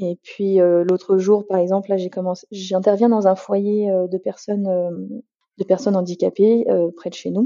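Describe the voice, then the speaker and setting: A woman's medium-pitched voice, fairly slow in pace, with fairly even intonation. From Paris region, rural Beauce. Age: 30s. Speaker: general practitioner. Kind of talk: interview. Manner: halting.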